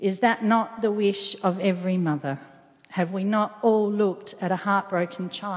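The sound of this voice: The intonation stays fairly even throughout this unforced reading voice.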